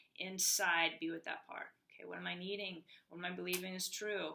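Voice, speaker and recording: A woman is speaking. Her voice has vocal fry. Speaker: healing coach. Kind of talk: motivational talk to camera. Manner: fast.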